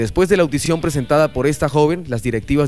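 Music plays in the background as a man speaks. His pitch is fairly high, with ordinary variation. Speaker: news reporter / narrator for a university broadcast. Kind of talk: news report narration.

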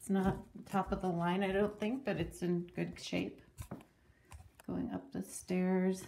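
Somewhat breathy, a woman talks at a very slow pace with light background noise behind her. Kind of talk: casual house tour narration. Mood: excited, upbeat. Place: home room. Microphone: phone near.

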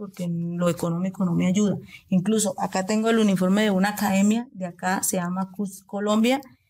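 A woman speaks at a moderate pace in a somewhat breathy voice with fairly even intonation, on a very clean recording with a silent background. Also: hardly any pauses. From Venezuela, Coro, Falcón state. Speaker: nail technician and entrepreneur. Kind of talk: interview.

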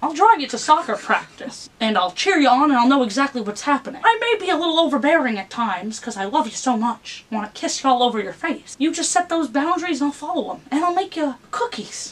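Putting on a character voice, a woman races along at a very fast pace and a high pitch. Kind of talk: comic overacting. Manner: warm, doting, smothering.

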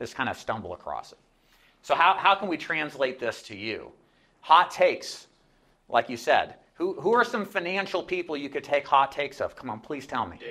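At a moderate pace, a man with a bright, sharp tone and vocal fry speaks with very wide pitch swings and big swings in loudness. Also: fairly high pitch for a man. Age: 30s. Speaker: insurance agency owner and YouTuber. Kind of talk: conference Q&A talk. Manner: casual, with many fillers and restarts.

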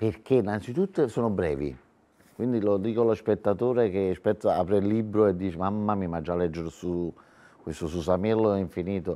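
The speaker has a Neapolitan accent and talks at a fairly quick pace. Pitch variation is ordinary. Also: man, fairly low pitch for a man. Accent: Neapolitan Italian. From southern Italy. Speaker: author and comedian; comedian. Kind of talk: TV interview. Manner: animated. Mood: cheerful, laughing. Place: studio. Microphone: lapel.

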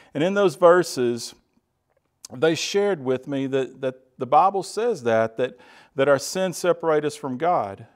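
Over a quiet background, a man with a Mississippi accent speaks fairly slowly in a fairly high voice with lively intonation. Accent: Southern US (Mississippi). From US South, Mississippi. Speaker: church member giving testimony; speaker. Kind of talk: testimony. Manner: halting, repeats words. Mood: earnest, warm. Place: studio. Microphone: lapel.

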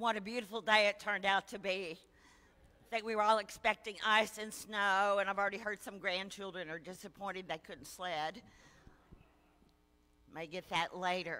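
At a moderate pace, a woman delivers her words with fairly even intonation. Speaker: lay preacher leading worship. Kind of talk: church welcome announcements. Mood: warm, welcoming. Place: church.

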